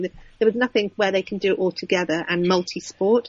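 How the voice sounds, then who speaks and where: A woman speaks with an English accent at a medium pitch. Her intonation is fairly even, over noticeable background noise. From UK. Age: 40s. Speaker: adventure racer. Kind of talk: casual chat.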